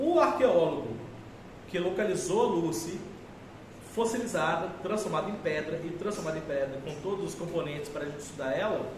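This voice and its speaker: A man at a high pitch with lively intonation, a moderate pace and long, frequent pauses, amid noticeable background noise and audible room echo. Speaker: teacher. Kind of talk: lecture.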